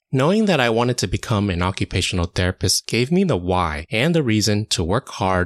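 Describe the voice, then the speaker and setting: In a dry, close sound with no echo, a man with an American accent speaks in a normal speaking voice, fairly low in pitch, with lively intonation. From United States, Chinese American family. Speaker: occupational therapist podcast host. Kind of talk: scripted monologue.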